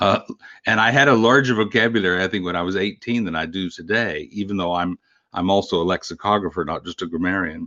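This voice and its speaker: A man with a Texan accent speaks at a fairly quick pace in a very deep, low pitch, his tone bright and sharp, his pitch varying in an ordinary way, with a quiet background and a dry, close sound with no echo. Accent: Texan American. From Texas Panhandle. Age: 60s. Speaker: grammarian and book collector. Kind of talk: interview.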